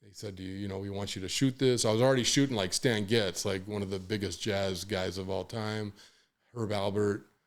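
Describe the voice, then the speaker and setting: A man's fairly low voice at a fairly quick pace, with fairly even intonation, on a very clean recording with a silent background. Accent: American. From Los Angeles, US West Coast. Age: 60s. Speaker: hip-hop photographer. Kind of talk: podcast interview, casual storytelling. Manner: halting, many fillers and restarts.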